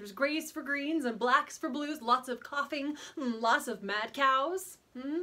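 A woman speaks in a raised, projected voice. Her pace is moderate and her pitch variation ordinary. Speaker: actor. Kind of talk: dramatic comic monologue. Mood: comically horrified, expressive. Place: studio.

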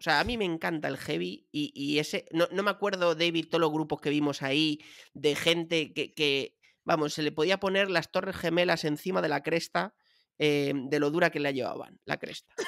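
Against a quiet background, a man talks at a moderate pace in a fairly high voice, with lively intonation and an animated tone. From Madrid, Spain; Spain. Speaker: podcast co-host. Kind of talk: casual chat. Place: home room. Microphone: studio mic.

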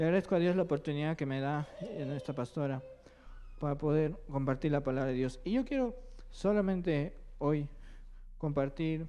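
A man's fairly high pitch carries a dark, mellow tone and ordinary pitch variation.

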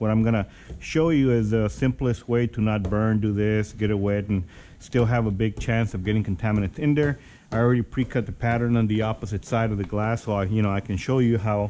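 Over light background noise, a man with a dark, mellow tone and fairly low pitch speaks at a fairly quick pace, his intonation fairly even. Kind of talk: tutorial. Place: workshop. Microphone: phone near.

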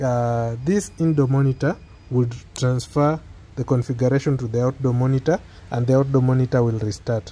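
At a moderate pace, a man speaks with a medium pitch, a dark, mellow tone and fairly even intonation.

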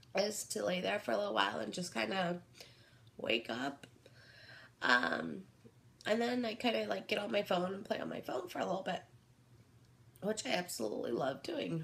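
A woman's fairly low voice with vocal fry, very wide pitch swings, a moderate pace and long, frequent pauses. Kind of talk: casual talk to camera. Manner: hesitant, many filler words.

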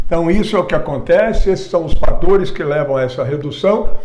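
A high-pitched male voice, its pitch variation ordinary. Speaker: fitness educator. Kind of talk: lecture. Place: studio. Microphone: lapel.

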